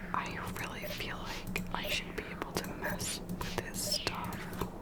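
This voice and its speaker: Very slow, relaxed whispering amid noticeable background noise. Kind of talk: casual gameplay commentary talking to camera. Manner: whispered, relaxed.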